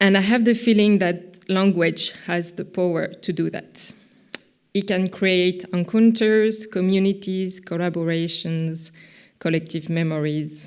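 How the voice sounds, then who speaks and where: A woman's medium-pitched voice with a French accent at a fairly slow pace. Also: fairly even intonation. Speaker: visual artist. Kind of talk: conference talk. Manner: halting, many fillers.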